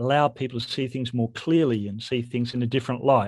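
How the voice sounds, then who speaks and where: In an Australian accent, a man talks at a medium pitch. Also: quiet background. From Western Australia. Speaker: history professor. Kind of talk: interview.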